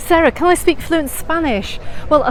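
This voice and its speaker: There is noticeable background noise as a woman speaks with a British accent. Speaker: travel vlogger. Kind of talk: live stream walking tour. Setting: outdoors.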